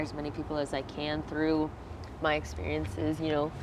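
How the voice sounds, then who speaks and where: Against noticeable background noise, a woman with an American accent and a very deep, low pitch speaks at a moderate pace with ordinary pitch variation. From Virginia, US. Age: 20s. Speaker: singer. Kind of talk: interview.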